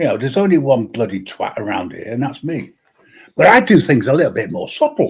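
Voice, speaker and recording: Moving at a fairly quick pace, a man with a British accent speaks with big swings in loudness. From UK. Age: old. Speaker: live stream host. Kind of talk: casual chat.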